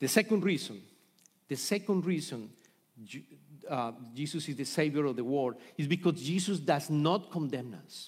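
In a very clean recording with a silent background, a man with a Colombian accent speaks at a moderate pace in a fairly high pitch with ordinary pitch variation. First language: Spanish. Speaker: pastor. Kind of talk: sermon. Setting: church. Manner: halting.

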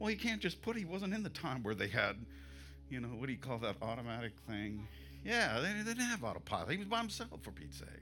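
A man talks at a very fast pace. Audible room echo surrounds his voice. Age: 60s. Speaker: pastor. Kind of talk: sermon. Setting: church.

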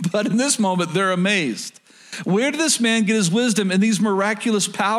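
The speaker uses an unforced reading voice. The words are read out.

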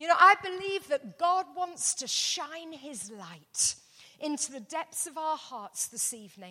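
A woman's raised, projected voice, high-pitched and bright and sharp, with very wide pitch swings, big swings in loudness and a fairly slow pace. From England. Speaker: pastor. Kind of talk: sermon.

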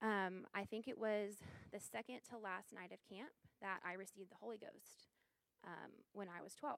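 The woman's voice sits at a medium pitch, moving at a moderate pace with fairly even intonation. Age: 20s. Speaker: church member giving testimony. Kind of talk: testimony. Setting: church service, small audience and livestream.

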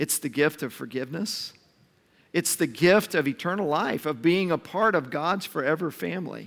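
An unremarkable speaking voice at a moderate pace, on a very clean recording with a silent background. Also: man, fairly high pitch for a man, ordinary pitch variation. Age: 50s. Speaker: pastor. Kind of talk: sermon.

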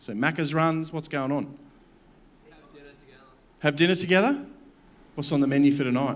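With an Australian accent, a man speaks with long, frequent pauses. Audible room echo surrounds his voice. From Campbelltown, Australia. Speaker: pastor. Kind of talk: sermon.

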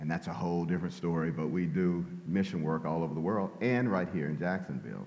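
In an American accent, a man speaks at a very fast pace with a very deep, low pitch, vocal fry and very even loudness. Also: ordinary pitch variation, hardly any pauses. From Louisiana, US South. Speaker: retired police officer. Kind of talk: conversational interview, testimony. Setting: church.

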